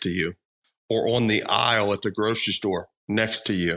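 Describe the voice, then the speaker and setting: In a Texan accent, a man with a bright, sharp tone speaks at a moderate pace against a quiet background. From Texas Gulf Coast. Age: 40s. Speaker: school safety expert. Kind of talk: interview.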